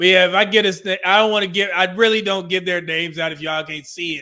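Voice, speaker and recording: A man speaks with an American accent and ordinary pitch variation. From California. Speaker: livestream commentator on relationships. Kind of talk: casual livestream talk reading super chats.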